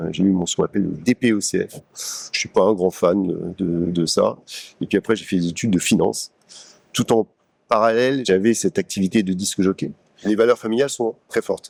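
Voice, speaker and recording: A man with a fairly low pitch talks at a fairly quick pace, with ordinary pitch variation and long, frequent pauses. The sound is dry and close with no echo. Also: very clean recording, silent background. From Paris, France. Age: 60s. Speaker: business executive. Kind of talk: interview testimony. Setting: company showroom. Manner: hesitant with frequent fillers and repetitions.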